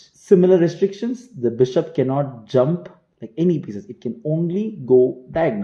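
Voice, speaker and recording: A man speaks at a fairly high pitch with very wide pitch swings. His tone is dark and mellow, and somewhat breathy. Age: 20s. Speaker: chess coach. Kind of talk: tutorial.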